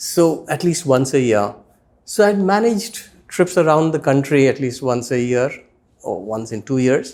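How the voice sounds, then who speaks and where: At a moderate pace, a man with an Indian accent talks at a fairly high pitch with lively intonation. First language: Hindi. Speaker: spiritual teacher, former corporate executive. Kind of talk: interview.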